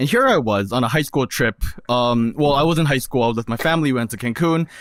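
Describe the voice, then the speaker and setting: A man with a Korean accent talks at a very fast pace, his medium pitch moving with ordinary variation and his loudness very even, on a very clean recording with a silent background. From South Korea. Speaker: podcast panelist. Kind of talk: casual chat.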